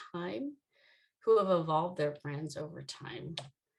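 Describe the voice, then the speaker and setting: A woman speaks at a moderate pace in an unremarkable speaking voice, fairly low in pitch, with ordinary pitch variation. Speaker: brand marketing founder and conference speaker. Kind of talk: conference talk.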